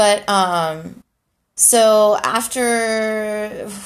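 A woman with an American accent and a fairly high pitch, captured in a very clean recording over a silent background. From Houston, Texas. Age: 30s. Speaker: podcaster. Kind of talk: personal monologue.

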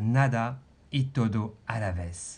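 Somewhat breathy male voice in a French accent, with very wide pitch swings. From France. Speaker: podcast host, life coach. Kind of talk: personal storytelling.

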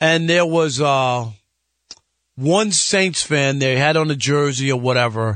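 Using a New York accent, a man speaks at a fairly slow pace with fairly high pitch, ordinary pitch variation and very even loudness. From New York (Jamaica, Queens). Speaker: guest sports radio host, former sportswriter. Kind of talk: casual sports talk radio.

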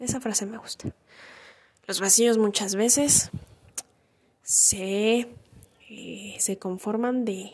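A woman talks at a very slow pace, with long, frequent pauses. Her pitch is fairly high and her intonation fairly even. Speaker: podcaster. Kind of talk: personal monologue. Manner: halting.

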